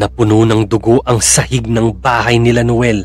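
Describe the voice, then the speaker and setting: A man at a fairly slow pace, with music in the background. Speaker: horror story narrator. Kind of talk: true-crime horror narration, read from a script. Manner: grim, hushed and slow, building dread, then a direct, chilling address to the listener.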